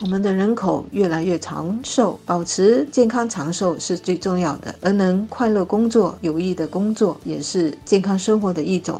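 A woman speaking with hardly any pauses over noticeable background noise. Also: medium pitch for a woman, ordinary pitch variation, moderate pace. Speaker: newspaper editor and commentator. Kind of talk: scripted commentary discussion. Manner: formal.

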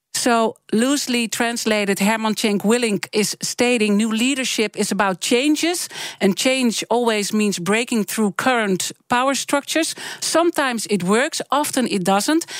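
A woman talks at a moderate pace and fairly high pitch, with ordinary pitch variation and very even loudness, the sound dry and close with no echo. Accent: Dutch. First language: Dutch. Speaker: radio interviewer. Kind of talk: interview. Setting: studio.

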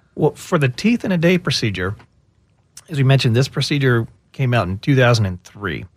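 Somewhat breathy and at a medium pitch, a man with an American accent speaks with lively intonation at a fairly quick pace. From Texas. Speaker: dentist. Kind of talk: radio interview.

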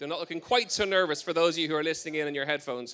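A man with an Irish accent, a bright, sharp tone and a very fast pace on a very clean recording with a silent background. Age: 40s. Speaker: health podcast host and personal trainer. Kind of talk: live talk to an audience. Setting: tent at an outdoor event with audience.

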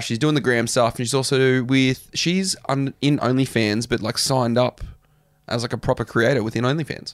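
On a very clean recording with a silent background, a man speaks in an unremarkable speaking voice. His pitch is medium and his pace moderate. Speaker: podcast co-host and reality TV alum. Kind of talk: casual comedic chat. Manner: jokey, easygoing.

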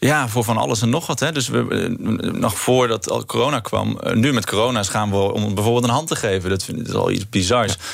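A man's medium-pitched voice with vocal fry, ordinary pitch variation, a fairly quick pace and hardly any pauses. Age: 20s. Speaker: political candidate. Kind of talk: radio interview.

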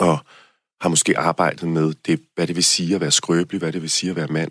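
On a very clean recording with a silent background, a man talks in a very deep, low pitch with monotone, flat intonation and a dry, close sound with no echo. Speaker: dance competition contestant. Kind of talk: interview. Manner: halting, many fillers.

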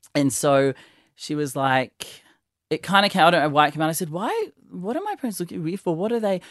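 An Australian-accented man talks at a very fast pace and a high pitch with ordinary pitch variation, in a dry, close sound with no echo. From Sydney, Australia (Northern Beaches). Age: 30s. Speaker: stylist. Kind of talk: casual chat. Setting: studio. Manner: animated.

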